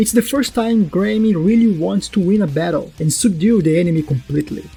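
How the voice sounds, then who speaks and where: With a non-native accent, the speaker talks at a fairly quick pace while music plays in the background. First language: not English. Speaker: anime analysis YouTuber. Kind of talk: video essay narration.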